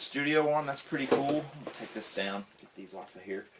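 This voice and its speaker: A fairly high-pitched man with a Southern US accent and lively intonation. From US South. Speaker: tech YouTuber. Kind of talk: unboxing video. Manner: casual, filler-heavy. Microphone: camera's built-in mic.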